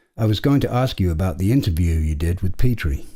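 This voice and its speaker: A man talks at a fairly quick pace with very wide pitch swings. His voice is somewhat breathy, with a dark, mellow tone. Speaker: podcast host. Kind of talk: scripted podcast banter.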